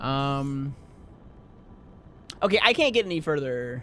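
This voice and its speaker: Mumbling in a bright, sharp tone, a man with a fairly high pitch uses lively intonation. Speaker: gaming streamer. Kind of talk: casual chat. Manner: fast.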